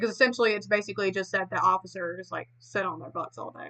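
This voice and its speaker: In a bright, sharp tone, a woman with an American accent talks at a very fast pace. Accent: Southern country accent, said to be heavy. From US South. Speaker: streamer. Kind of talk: casual chat. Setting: livestream away from home.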